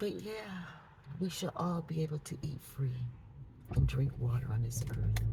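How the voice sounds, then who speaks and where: Amid noticeable background noise, a woman with a very deep, low pitch speaks at a fairly slow pace, her voice making very wide pitch swings and leaving long, frequent pauses. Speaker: preacher and vlogger. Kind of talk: casual vlog monologue. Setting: in a car.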